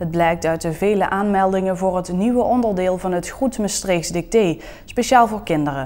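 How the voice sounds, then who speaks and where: This woman has an unremarkable speaking voice at medium pitch. She speaks at a fairly slow pace with ordinary pitch variation. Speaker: TV news reporter. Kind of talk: regional TV news report.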